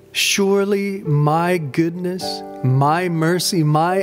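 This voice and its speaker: A man speaks with music playing in the background. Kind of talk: scripture reading, meditation. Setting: over background music. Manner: calm, gentle, prayerful.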